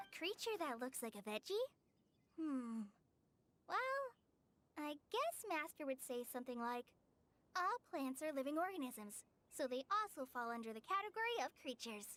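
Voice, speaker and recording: A woman puts on a character voice, high-pitched, with very wide pitch swings, at a moderate pace. Long pauses come often, and the sound is dry and close with no echo. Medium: video game. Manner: gentle, eager, slightly hesitant.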